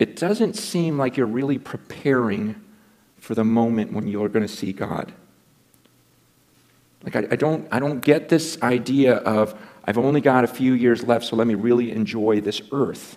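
This man's voice has a medium pitch that varies in an ordinary way. His pace stays moderate. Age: 40s. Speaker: preacher. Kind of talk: sermon. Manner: earnest, challenging. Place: church.

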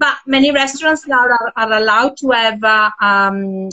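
A woman with an Italian accent talks at a moderate pace, her pitch fairly high with ordinary variation. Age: 50s. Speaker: tour organizer and project founder. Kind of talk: casual chat. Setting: live video call.

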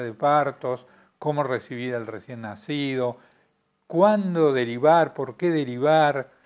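On a very clean recording with a silent background, a man speaks very slowly at a fairly high pitch. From Argentina, Neuquén. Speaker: retired doctor. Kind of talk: oral history interview. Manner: halting, many hesitations.

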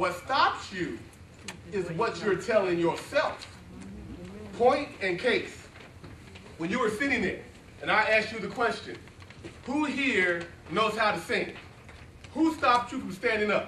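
A man's high, raised, projected voice at a fairly slow pace, broken by long, frequent pauses, with audible room echo and light background noise. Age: 40s. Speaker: motivational speaker. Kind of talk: motivational speech. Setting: stage with audience. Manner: animated. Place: classroom. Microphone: camera far.

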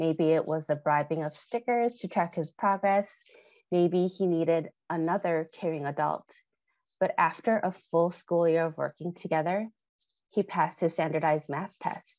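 A woman with an American accent speaks at a moderate pace with fairly even intonation. The sound is dry with no echo, and the background is quiet. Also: fairly low pitch for a woman. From US Midwest. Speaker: former tutor, health equity leader; former tutor. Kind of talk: legislative testimony. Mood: warm, earnest. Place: home room. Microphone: earbuds.

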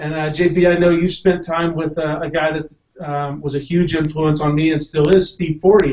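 At a moderate pace and with hardly any pauses, a man speaks in a monotone, flat intonation at a fairly high pitch. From US South, Tennessee (Knoxville); Tennessee. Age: 40s. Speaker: card magician, Air Force veteran; guest. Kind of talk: panel discussion. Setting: video call. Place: home room. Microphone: video call.

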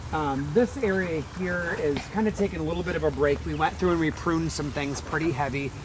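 A man talks at a fairly quick pace with ordinary pitch variation. Background noise is clearly audible. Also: fairly high pitch for a man.

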